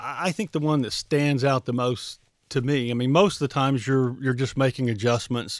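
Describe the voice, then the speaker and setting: The recording is very clean, with a silent background. A man speaks at a moderate pace and medium pitch, with ordinary pitch variation. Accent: Alabama. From US South, Mobile, Alabama. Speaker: former pro football player. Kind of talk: interview. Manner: halting, many repeated words.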